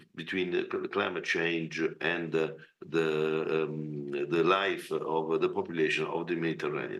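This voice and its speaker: A man talks fairly slowly, and audible room echo follows his words. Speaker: representative of an agriculture organization. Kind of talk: conference speech. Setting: video call. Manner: halting.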